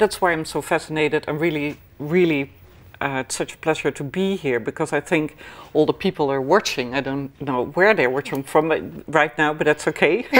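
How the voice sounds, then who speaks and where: A woman speaks with a Dutch accent. Her voice is very deep and low in pitch. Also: ordinary pitch variation, moderate pace. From Netherlands, Amsterdam. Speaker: healer and clairvoyant. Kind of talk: interview. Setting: studio. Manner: halting.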